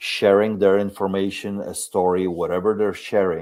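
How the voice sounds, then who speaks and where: A man with a strong non-native accent speaks at a moderate pace in a very deep, low pitch. His tone is dark and mellow, and his intonation is monotone and flat. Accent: foreign accent, strong. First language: Polish. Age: 50s. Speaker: video creator and shop owner. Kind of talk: podcast interview.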